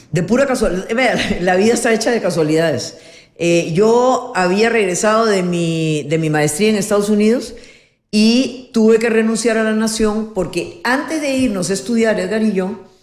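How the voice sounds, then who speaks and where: A woman's fairly high voice with lively intonation and very even loudness, in audible room echo. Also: moderate pace. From Peru, Lima. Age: 70s. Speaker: politician and former journalist. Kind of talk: interview, life story.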